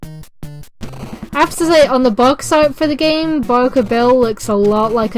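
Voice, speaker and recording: A woman talks with lively intonation at a fairly slow pace while music plays in the background. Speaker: co-commentator. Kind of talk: casual let's play commentary.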